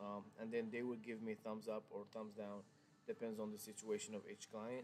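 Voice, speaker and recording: In a monotone, flat intonation, a man talks at a fairly low pitch. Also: moderate pace. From Morocco. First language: Arabic. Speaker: car salesman. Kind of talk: live stream sales talk. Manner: hesitant, many fillers and restarts.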